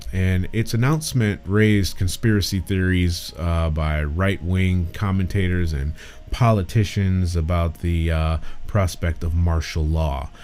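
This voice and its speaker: Over music in the background, a man with an American accent and a very deep, low voice speaks at a fairly slow pace with ordinary pitch variation. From Michigan, US. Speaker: talk show host. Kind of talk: solo online talk show commentary. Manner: casual, many filler words.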